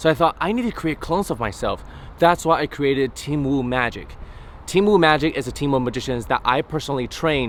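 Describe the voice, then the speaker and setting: A man with an unremarkable speaking voice talks at a fairly quick pace, his fairly high pitch showing ordinary variation. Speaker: magician. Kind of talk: promotional talk to camera. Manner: upbeat.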